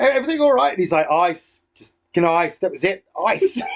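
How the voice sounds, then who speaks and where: In an English accent, the speaker moves at a fairly quick pace with very wide pitch swings. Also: man. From England. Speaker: podcast host, airsoft player. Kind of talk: casual chat.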